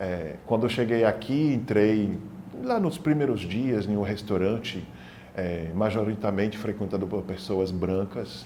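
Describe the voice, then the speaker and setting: Ordinary pitch variation and a fairly slow pace come through with audible room echo. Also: man, fairly low pitch for a man. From Senegal (childhood), then France. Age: 40s. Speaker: documentary interviewee. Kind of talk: testimony.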